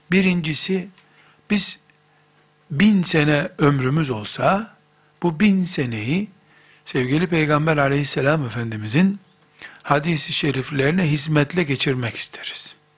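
At a fairly slow pace, a man speaks with a fairly high pitch and a somewhat breathy sound. He leaves long, frequent pauses. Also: ordinary pitch variation. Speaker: Islamic preacher. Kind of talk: religious lecture.

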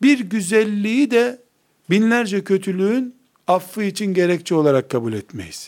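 Lively intonation carries this fairly slow delivery in a very clean recording with a silent background. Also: man, high pitch for a man. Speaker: Islamic scholar and teacher. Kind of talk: lecture.

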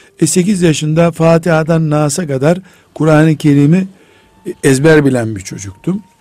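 Against noticeable background noise, a man with a fairly high voice talks at a fairly slow pace with ordinary pitch variation. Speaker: Islamic scholar. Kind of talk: religious radio talk. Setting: radio studio.

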